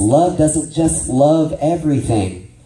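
There is audible room echo. Within it, a man talks at a fairly slow pace. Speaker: ministry teacher. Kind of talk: sermon-style training lecture. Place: church.

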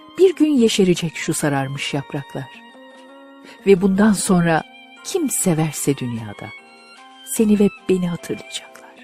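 A woman's fairly low voice with very wide pitch swings, a fairly slow pace and long, frequent pauses over music in the background. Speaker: amateur audiobook and poetry reader. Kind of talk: poetry reading with background music. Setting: home studio.

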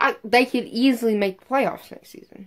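A woman's fairly high voice at a moderate pace. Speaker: sports YouTuber. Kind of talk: angry sports rant. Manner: emphatic, repetitive, insistent; sarcastic, dismissive.

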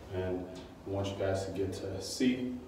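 A man speaks in a room with strong echo and a light hum of background noise. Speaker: sign installer vlogger. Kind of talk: casual vlog chat. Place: street.

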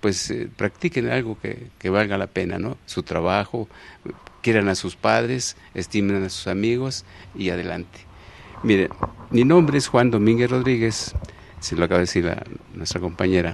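A man with a Mexico City accent talks at a moderate pace and a fairly low pitch, with lively intonation and long, frequent pauses. The sound is dry with no echo, over light background noise. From Mexico City, Iztapalapa. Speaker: elderly local resident sharing memories, former farmer; interview guest. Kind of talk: TV interview, oral history. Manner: halting, many fillers and repetitions. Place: studio. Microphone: handheld.

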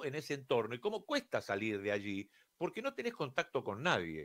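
A man at a moderate pace, with very wide pitch swings and a quiet background. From Argentina. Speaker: radio host and broadcasting teacher; radio show host. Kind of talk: radio monologue. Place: studio. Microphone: studio mic.

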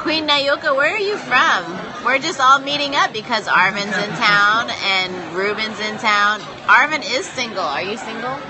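Noticeable background noise accompanies talking at a fairly slow pace. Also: hardly any pauses. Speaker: live streamer. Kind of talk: casual chat. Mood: playful, joking. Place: bar. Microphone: phone near.

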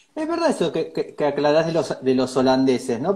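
The tone is dark and mellow. It comes with a Rioplatense accent. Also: man. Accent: Argentine Rioplatense Spanish. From Argentina. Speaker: interview host. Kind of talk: casual interview. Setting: live video stream. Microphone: earbuds.

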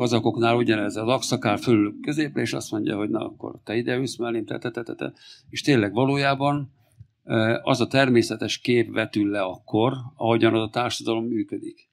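Behind the voice, the background stays quiet. A man speaks fairly quickly with fairly even intonation. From Hungary. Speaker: farmer and family doctor; speaker. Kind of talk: public talk. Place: stage. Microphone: handheld.

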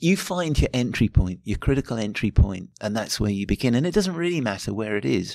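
In a British accent, a man talks at a fairly quick pace and a medium pitch with very wide pitch swings and hardly any pauses. The recording is very clean and dry, with a close sound, no echo and a silent background. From Britain. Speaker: anthropology professor. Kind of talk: interview. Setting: conference. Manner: halting, repeats words.

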